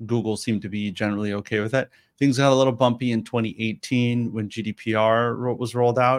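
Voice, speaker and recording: This man delivers his words fairly quickly at a medium pitch, his intonation monotone and flat. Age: late 30s. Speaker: startup CEO. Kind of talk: webinar interview.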